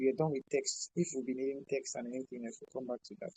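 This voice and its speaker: A man's somewhat breathy, fairly high-pitched voice with a dark, mellow tone, in a dry, close sound with no echo. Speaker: video editing tutor. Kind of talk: online class tutorial. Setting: video call with screen share.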